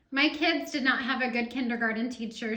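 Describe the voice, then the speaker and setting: A woman projects a raised voice at a high pitch. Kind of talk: casual interview of family member. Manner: upbeat, encouraging.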